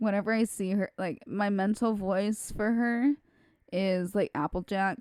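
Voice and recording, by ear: The speaker is reading aloud in a natural voice, keeping the intonation fairly even.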